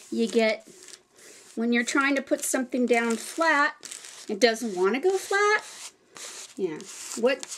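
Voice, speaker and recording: Here a woman speaks at a high pitch and a fairly slow pace. Her pitch swings very widely. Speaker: craft video creator. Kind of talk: tutorial. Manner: casual, halting with fillers.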